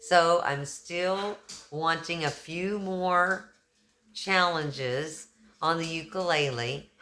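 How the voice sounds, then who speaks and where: A woman's fairly low voice with a Texan accent, at a very slow pace and with ordinary pitch variation. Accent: Texan, y'all. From Texas. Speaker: YouTuber, kindness channel host. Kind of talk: casual vlog talk. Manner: animated.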